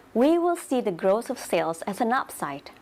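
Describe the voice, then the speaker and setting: Her pitch swings very widely as a woman talks at a fairly slow pace. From Indonesia. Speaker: network marketing team leader. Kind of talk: training presentation.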